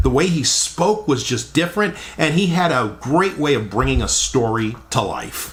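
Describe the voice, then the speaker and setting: A fairly slow pace, with noticeable background noise. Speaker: radio broadcaster. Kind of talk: radio history introduction.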